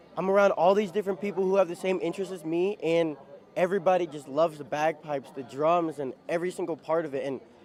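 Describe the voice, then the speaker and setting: Speech comes at a very fast pace with an American accent. The pitch varies in an ordinary way. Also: man, high pitch for a man. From Ohio, US Midwest. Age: 20s. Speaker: bagpiper. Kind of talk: casual interview.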